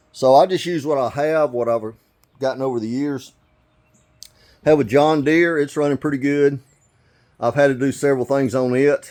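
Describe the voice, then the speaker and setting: With fairly even intonation and a fairly high pitch, a man talks at a moderate pace, leaving long, frequent pauses. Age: 60s. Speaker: DIY video maker. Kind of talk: casual how-to tutorial. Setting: lawnmower shed. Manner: casual, halting with fillers.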